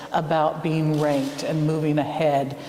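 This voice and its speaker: Over noticeable background noise, the speaker talks at a moderate pace with an American accent. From United States. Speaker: field education centre director. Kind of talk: interview.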